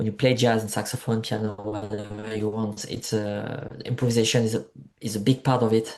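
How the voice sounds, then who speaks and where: A man's medium-pitched voice in a dark, mellow tone, at a moderate pace, with a French accent, against a quiet background. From France, Marseille (south of France). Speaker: musician. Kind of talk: interview. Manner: halting, many fillers.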